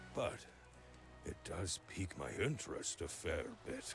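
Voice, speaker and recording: Over clear music in the background, a man performs a cartoonish character voice at a moderate pace. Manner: severe with a tinge of mockery.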